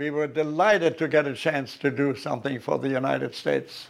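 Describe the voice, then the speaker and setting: The speech moves at a moderate pace, with a quiet background behind it. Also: man. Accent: German. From Germany. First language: German. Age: 90s. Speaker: war veteran. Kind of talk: interview.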